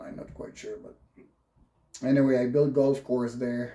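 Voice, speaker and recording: A man speaks with a French Canadian accent. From Quebec. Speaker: vlogger, ex-firefighter. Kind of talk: casual vlog monologue. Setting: at home with dogs. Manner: halting, many fillers.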